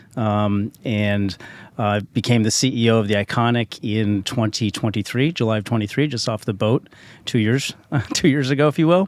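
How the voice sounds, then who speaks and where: A man with an American accent and a normal speaking voice talks at a moderate pace, with medium pitch and ordinary pitch variation. The very clean recording has a silent background and a dry, close sound with no echo. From US West, Park City, Utah. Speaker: company CEO. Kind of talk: interview.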